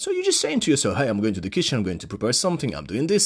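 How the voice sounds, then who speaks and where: A man with a Polish accent and an animated tone, on a very clean recording with a silent background. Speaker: English teacher, podcast host. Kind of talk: solo tutorial podcast.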